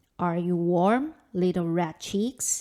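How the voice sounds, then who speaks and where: A put-on character voice from a woman, medium in pitch. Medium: read story.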